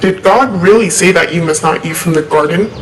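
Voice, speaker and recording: A put-on character voice at a middle pitch and fairly quick pace, with hissing and clear background noise. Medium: audio drama.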